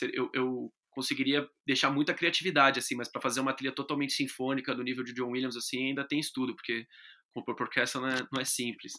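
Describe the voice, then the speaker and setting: A man talks very fast at a medium pitch in a bright, sharp tone. His intonation is flat and monotone on a very clean recording with a silent background. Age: 20s. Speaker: guitarist and radio presenter. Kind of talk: casual interview.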